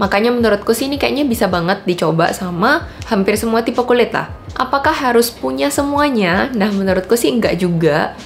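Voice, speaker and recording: Over noticeable background noise, a woman with a fairly high pitch speaks at a fairly quick pace, her pitch swinging very widely. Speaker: beauty vlogger. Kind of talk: product review. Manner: casual.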